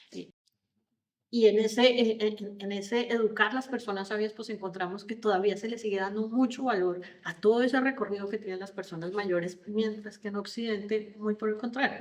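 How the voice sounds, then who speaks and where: Speaking at a moderate pace with a Colombian accent, a woman uses a fairly high pitch and fairly even intonation, though her loudness swings widely. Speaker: HR consultant on generational diversity. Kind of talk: podcast interview.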